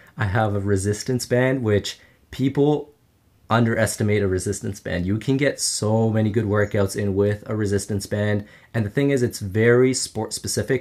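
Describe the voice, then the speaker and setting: In a very clean recording with a silent background, a man with a Canadian accent and a normal speaking voice talks at a moderate pace, his fairly low pitch showing ordinary variation. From Canada, Ottawa. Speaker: footballer and online influencer. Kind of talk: casual chat.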